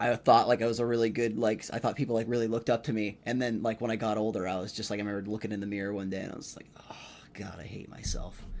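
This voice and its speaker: A man talks at a very fast pace with a medium pitch. His intonation stays monotone and flat while his loudness swings a lot. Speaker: comedian and podcast host. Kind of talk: casual solo podcast monologue. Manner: rambling with many false starts.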